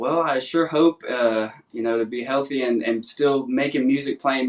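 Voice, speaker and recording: Moderate pacing carries this male voice. He talks with a Southern US accent. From Nashville, Tennessee. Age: 20s. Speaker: songwriter contestant. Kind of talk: interview.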